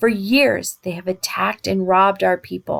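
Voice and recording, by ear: Natural-voiced reading aloud over a quiet background, pitch varying in an ordinary way.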